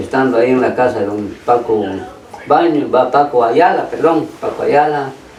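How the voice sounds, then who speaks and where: At a moderate pace, a man speaks at medium pitch with ordinary pitch variation. Audible room echo and noticeable background noise fill the recording. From Petén, Guatemala (San Andrés). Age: 80s+. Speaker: brother of honoree, interviewee. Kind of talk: radio interview, reminiscing.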